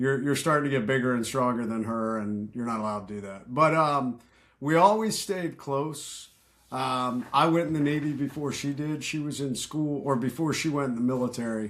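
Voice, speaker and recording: Spoken with an American accent at a moderate pace, the voice shows ordinary pitch variation on a very clean recording with a silent background. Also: man, medium pitch for a man. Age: 50s. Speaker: retired special forces veteran. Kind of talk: podcast interview. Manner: casual, halting with fillers.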